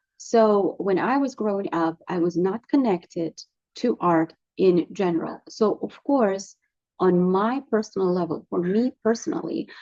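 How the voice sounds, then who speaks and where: A woman with a Russian accent speaks at a medium pitch and a fairly slow pace. Her tone is dark and mellow, with lively intonation. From Russia, Moscow. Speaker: artist, painter. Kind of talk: casual vlog monologue and Q&A. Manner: hesitant, many fillers.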